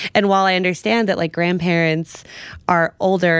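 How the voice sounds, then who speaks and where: A woman with an American accent has a plain, everyday voice and a fairly low pitch. She talks at a moderate pace with ordinary pitch variation. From New York, the Bronx. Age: 30s. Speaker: sex and wellness writer. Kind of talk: casual chat.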